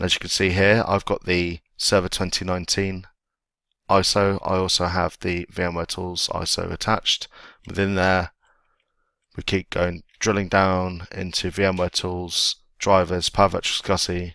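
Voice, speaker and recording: A man with an English accent speaks at a moderate pace in a very deep, low pitch, his tone bright and sharp, his intonation monotone and flat. The recording is very clean and dry, close with no echo and a silent background. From England. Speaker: IT tech blogger and video instructor. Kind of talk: tutorial. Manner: casual.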